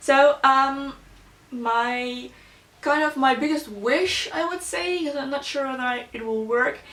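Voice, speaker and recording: The speaker talks at a fairly slow pace with a non-native accent. Pitch varies in an ordinary way. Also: woman, high pitch for a woman. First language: Slovak and Dutch. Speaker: beauty YouTuber. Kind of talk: casual chat. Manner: casual, with many fillers.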